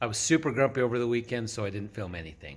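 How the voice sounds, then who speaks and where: A man speaks at a medium pitch with a somewhat breathy tone, recorded very cleanly against a silent background. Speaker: DIY garage vlogger. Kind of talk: casual vlog narration. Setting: home garage.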